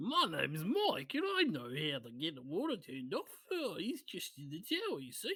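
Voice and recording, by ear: A put-on character voice sits at a middle pitch. It moves at a moderate pace with hardly any pauses.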